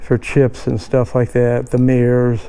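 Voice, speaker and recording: A medium-pitched man's voice with an American accent over noticeable background noise. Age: 70s. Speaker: car enthusiast. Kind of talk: casual talk to camera. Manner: casual, hesitant.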